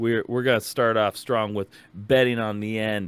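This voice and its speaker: Speaking with a Minnesotan accent, a man keeps a fairly low pitch, a fairly slow pace and monotone, flat intonation. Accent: Minnesota. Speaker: music podcast host. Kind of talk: casual chat.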